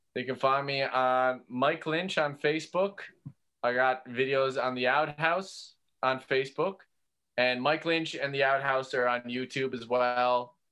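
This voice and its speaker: Speaking at a fairly slow pace with fairly even intonation, a man with a Newfoundland accent has a medium pitch and a bright, sharp tone. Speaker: comedian. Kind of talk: casual chat.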